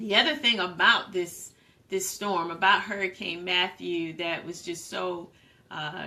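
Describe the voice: Fairly low-pitched woman, bright, sharp tone, fairly slow pace and fairly even intonation, with audible room echo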